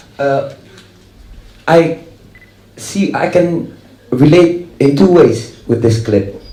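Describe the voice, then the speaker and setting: A man's fairly high, lively voice at a very slow pace, broken by long, frequent pauses, amid noticeable background noise and audible room echo. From Netherlands, Dutch-Moroccan. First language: Dutch. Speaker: rock musician. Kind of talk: panel discussion. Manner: halting.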